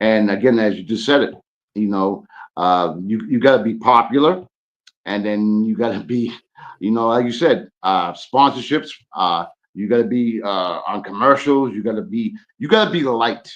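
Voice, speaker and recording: With an American accent and ordinary pitch variation, a man talks in an unremarkable speaking voice. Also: medium pitch for a man, moderate pace. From Boston. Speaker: podcast guest. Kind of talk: casual chat.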